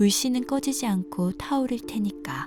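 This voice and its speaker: Over background music, a woman talks at a fairly slow pace. Her tone is calm and her intonation lively. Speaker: audiobook narrator. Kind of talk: essay audiobook reading for sleep. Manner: calm, soft-spoken.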